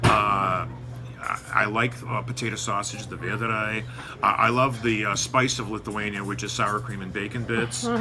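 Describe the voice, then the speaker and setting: With music in the background and audible room echo, a man talks at a medium pitch and moderate pace in a monotone, flat intonation. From United States, Lithuanian-American community. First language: Lithuanian. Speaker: news site editor. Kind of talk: interview. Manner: halting, many fillers.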